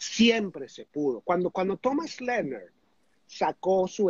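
This man's voice is high in pitch. It swings very widely from note to note. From Venezuela. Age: 60s. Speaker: life coach trainer. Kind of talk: interview.

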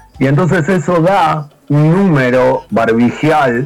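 Noticeable noise sits in the background. Over it, a man talks with lively intonation. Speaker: podcast panelist. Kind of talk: casual banter among friends.

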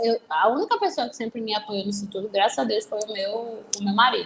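A woman's fairly high, lively voice amid noticeable background noise. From Recife, Pernambuco, Brazil. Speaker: criminal lawyer. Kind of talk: casual interview.

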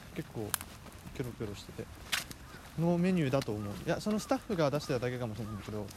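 A man talks at a very fast pace with very wide pitch swings and long, frequent pauses, over noticeable background noise. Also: medium pitch for a man. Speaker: student podcast host. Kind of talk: casual chat. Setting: outdoors, walking in a park.

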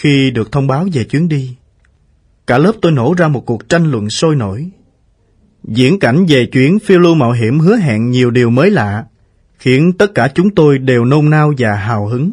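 A man with a fairly high pitch speaks in a somewhat breathy voice with lively intonation. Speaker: audiobook narrator. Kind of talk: reading aloud.

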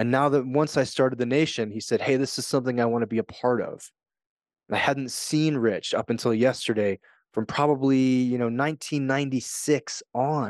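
A man with a normal speaking voice and an American accent, medium in pitch, with fairly even intonation at a moderate pace, in dry, close sound with no echo against a quiet background. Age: 40s. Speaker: podcast host and author. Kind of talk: solo podcast monologue.

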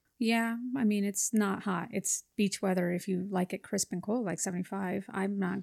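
Against a quiet background with a dry, close sound and no echo, a woman speaks at a medium pitch, somewhat breathy, with fairly even intonation. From Los Angeles area, California (Whittier). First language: Spanish. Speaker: real estate agent. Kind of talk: casual interview.

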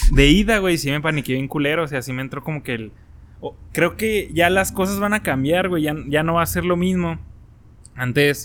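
With a plain, everyday voice, a man talks at a moderate speed, his pitch fairly high and ordinary in variation. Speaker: podcast co-host. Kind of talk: casual chat.

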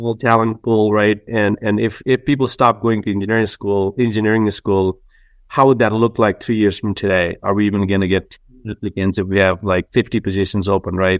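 A man with a Nepali accent talks at a fairly quick pace in a fairly low voice with monotone, flat intonation. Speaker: company CEO, engineer. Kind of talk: interview.

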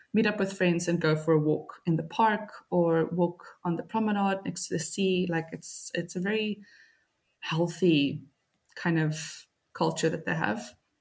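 Somewhat breathy, a woman speaks at a fairly low pitch and a fairly slow pace with fairly even intonation. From Cape Town, South Africa. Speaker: copywriter, expat. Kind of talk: casual interview.

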